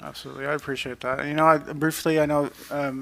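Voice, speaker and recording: Speaking very fast in a monotone with flat intonation, a man has a bright, sharp tone. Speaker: police commissioner. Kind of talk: public meeting discussion. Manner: mumbling.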